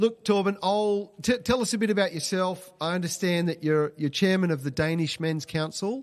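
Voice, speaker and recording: Over a quiet background, someone with an Australian accent speaks at a moderate pace with ordinary pitch variation. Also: man, hardly any pauses. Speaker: webcast host and charity CEO. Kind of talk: live webcast hosting. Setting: live online webcast. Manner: casual, hesitant with fillers.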